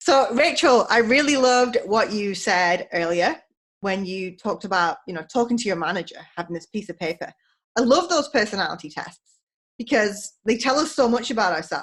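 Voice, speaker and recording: Speaking with a British accent, a woman uses a fairly high pitch with very wide pitch swings. She keeps a moderate pace. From England. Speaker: podcast host, leadership coach. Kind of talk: casual interview chat. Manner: chatty, animated.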